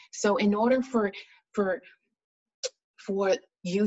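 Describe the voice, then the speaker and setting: A woman speaks with ordinary pitch variation in a plain, everyday voice. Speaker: spoken word poet and pharmacist, speaker and author. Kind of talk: interview answer, explaining her method.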